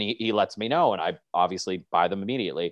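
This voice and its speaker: With a Canadian accent, a man speaks at a very fast pace. His pitch varies in an ordinary way against a quiet background. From small-town Ontario, Canada. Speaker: musician, band frontman. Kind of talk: casual chat.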